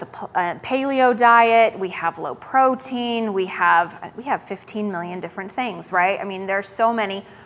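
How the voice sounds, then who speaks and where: Noticeable background noise surrounds a woman with an American accent whose animated, fairly high voice shows big swings in loudness. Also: hardly any pauses. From western US. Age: 30s. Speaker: dietitian. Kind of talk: health talk presentation. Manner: fast.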